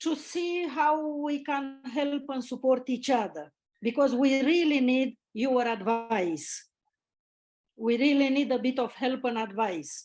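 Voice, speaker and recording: Here a woman speaks with a Romanian accent at a high pitch and ordinary pitch variation. Her pace is very slow, and the background is quiet. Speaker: network marketing team leader. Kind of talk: video call testimony. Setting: video call.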